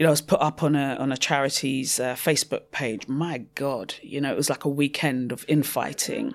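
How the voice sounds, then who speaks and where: A woman with a very deep, low voice talks at a fairly quick pace, hardly pausing, her intonation fairly even. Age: 30s. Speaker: social entrepreneur and cancer survivor. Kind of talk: interview testimony.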